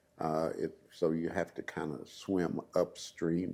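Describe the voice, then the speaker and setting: Very deep, low male voice in an American accent, dark and mellow in tone, with vocal fry and fairly even intonation. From US Midwest, Columbia, Missouri. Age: 80s+. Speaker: retired community activist. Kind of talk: oral history interview. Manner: halting.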